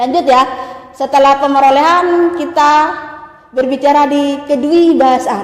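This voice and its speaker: A woman's high-pitched voice in a Madurese accent, fairly even in intonation, with audible room echo. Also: fairly slow pace. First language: Madurese (speaking Indonesian). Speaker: university lecturer. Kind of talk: lecture.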